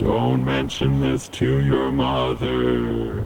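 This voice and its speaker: A man's put-on character voice, very deep and low, at a very slow pace over clear background noise. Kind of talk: mock-Shakespearean speech mixed with casual talk. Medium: short film.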